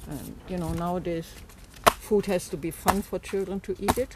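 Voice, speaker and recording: A woman talks with a German accent and fairly even intonation. Noticeable background noise runs under her voice. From Germany. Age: 80s+. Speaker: farmhand. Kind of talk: interview storytelling.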